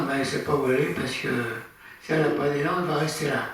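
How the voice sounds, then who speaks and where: A man speaks with monotone, flat intonation amid noticeable background noise and audible room echo. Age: 80s+. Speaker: amateur astronomy speaker. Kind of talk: lecture. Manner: halting.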